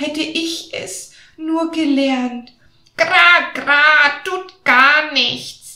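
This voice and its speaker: In a put-on character voice, a woman speaks very slowly, high-pitched and croaky. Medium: read story. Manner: croaks "gra, gra" between words, chatty.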